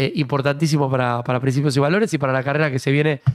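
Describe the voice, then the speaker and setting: This man has a Rioplatense accent and a fairly high pitch. His intonation is fairly even, and the background is quiet. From Argentina. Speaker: political talk show host. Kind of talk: casual chat. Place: studio. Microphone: studio mic.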